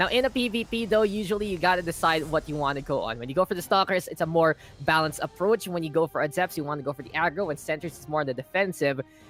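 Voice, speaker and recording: With a Filipino accent and lively intonation, the speaker goes at a very fast pace with hardly any pauses, in a dry, close sound with no echo, while music plays in the background. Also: man, high pitch for a man. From Philippines. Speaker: esports caster. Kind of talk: live commentary. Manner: animated.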